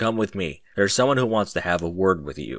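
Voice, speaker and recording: A man talks at a fairly quick pace in a put-on character voice. His pitch is very deep and low, with lively intonation. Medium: read story. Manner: stern, commanding.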